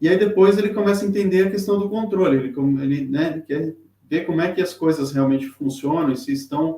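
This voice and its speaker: This man talks with ordinary pitch variation. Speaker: tarot reader. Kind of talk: live-stream lecture. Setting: live stream with chat. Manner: halting, many fillers.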